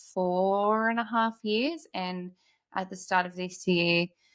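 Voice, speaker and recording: Her tone is bright and sharp, with an Australian accent. The woman talks at a fairly slow pace. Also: very clean recording, silent background. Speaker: podcast host, mother. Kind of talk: casual chat.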